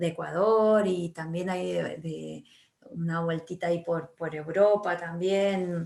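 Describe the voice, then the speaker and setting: This woman's fairly low-pitched voice moves at a very slow pace. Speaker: writer and teacher. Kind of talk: interview. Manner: halting, many fillers.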